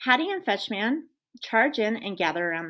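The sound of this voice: The clip has an unforced reading voice. The background is quiet.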